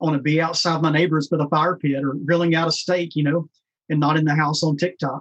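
A man speaks very fast at a fairly high pitch, in a monotone, flat intonation with very even loudness. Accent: Tennessee. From US South, rural West Tennessee. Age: 40s. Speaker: founder of an outdoor nonprofit for special forces. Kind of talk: casual chat.

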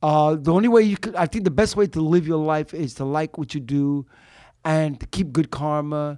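A man with an American accent uses a normal speaking voice at a fairly high pitch and moderate pace, with lively intonation and a dry, close sound with no echo on a very clean recording with a silent background. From Brooklyn, New York. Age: 60s. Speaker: street performer, musician and poet.

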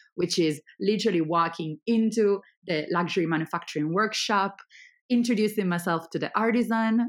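On a very clean recording with a silent background, a woman with an Italian accent talks at a moderate pace with ordinary pitch variation. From Italy. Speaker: startup founder. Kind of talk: interview.

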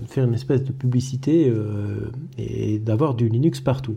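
A man talks at a fairly slow pace and a medium pitch. Noticeable background noise runs beneath his voice. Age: 30s. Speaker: IT technician and podcaster. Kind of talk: solo podcast monologue. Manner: hesitant, many fillers.

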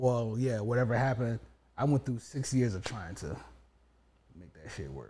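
The voice is dark, mellow and somewhat breathy, with lively intonation and big swings in loudness. It moves at a moderate pace with long, frequent pauses. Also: man, medium pitch for a man. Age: 40s. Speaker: podcast co-host, divorced and remarried husband. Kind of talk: casual chat.

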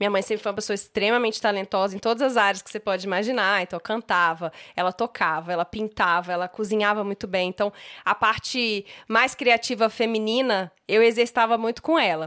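On a very clean recording with a silent background, a woman of medium pitch talks at a fairly quick pace with a bright, sharp tone and ordinary pitch variation. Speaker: image and style consultant, podcast co-host. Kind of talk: casual chat.

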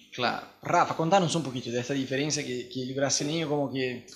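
Fairly high in pitch with ordinary pitch variation, a man talks in an ordinary speaking voice. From Brazil. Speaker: missionary podcast host. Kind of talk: casual chat.

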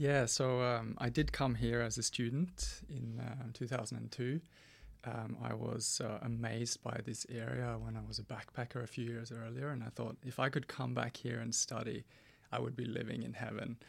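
A man with a Norwegian accent at a moderate pace. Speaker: teacher turned documentary filmmaker. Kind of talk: radio interview. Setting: radio studio. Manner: hesitant, many fillers.

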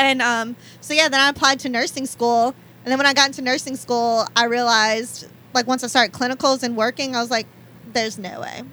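A woman with an American accent, high-pitched and bright and sharp in tone, at a fairly quick pace with fairly even intonation. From New Orleans area, Louisiana (West Bank, Belle Chasse). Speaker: nurse practitioner. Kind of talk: casual chat.

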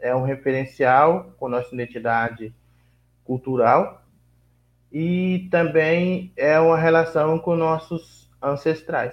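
A man's fairly high voice, very slow in pace, with ordinary pitch variation. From Vale do Ribeira, São Paulo state, Brazil. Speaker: quilombola community leader. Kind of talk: interview.

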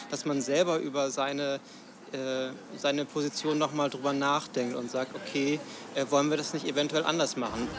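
A man is speaking. His pace is moderate. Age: 20s. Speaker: system administrator and union youth representative. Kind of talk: interview. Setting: café. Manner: halting, many fillers.

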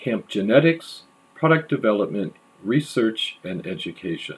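This man's voice has a medium pitch and very wide pitch swings. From US Pacific Northwest. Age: 60s. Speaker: podcaster. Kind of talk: casual monologue.

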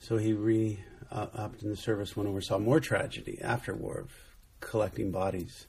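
A man's somewhat breathy, fairly low voice at a moderate pace, with fairly even intonation. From Southern California. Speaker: ministry founder. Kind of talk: casual chat. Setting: indoors by the ocean in Newport Beach.

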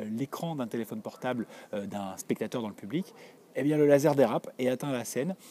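Lively in intonation, a man with a medium pitch and a dark, mellow tone speaks at a fairly quick pace. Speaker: podcaster correspondent. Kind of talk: audio report. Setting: theatre stairway, walking. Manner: hesitant, many fillers.

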